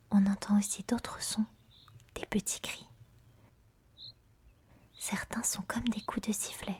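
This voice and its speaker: Someone whispers at a very slow pace, leaving long, frequent pauses. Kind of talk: ASMR nature narration. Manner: soft-spoken.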